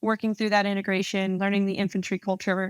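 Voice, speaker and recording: On a very clean recording with a silent background and a dry, close sound with no echo, a woman speaks at a medium pitch with a New Jersey accent. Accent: New Jersey, faint in this recording. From New Jersey, Central West Jersey. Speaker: army officer. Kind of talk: interview.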